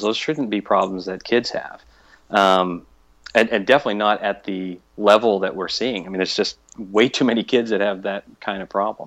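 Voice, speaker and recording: A man with an unremarkable speaking voice talks at a moderate pace. His pitch is fairly low and his intonation fairly even. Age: 50s. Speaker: fitness podcaster. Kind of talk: casual interview.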